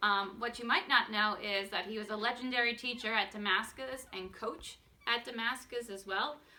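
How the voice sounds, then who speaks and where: Noticeable background noise runs under speech whose intonation is fairly even. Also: woman, fairly high pitch for a woman, moderate pace. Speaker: coach. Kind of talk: casual talk to camera.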